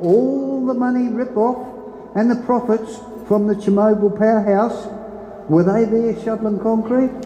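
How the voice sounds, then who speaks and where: A man talks at a moderate pace with a strong Australian accent and ordinary pitch variation. Room echo is audible. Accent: broad Australian. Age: old. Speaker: local resident. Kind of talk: public meeting speech. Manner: animated. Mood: angry, protesting. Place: hall.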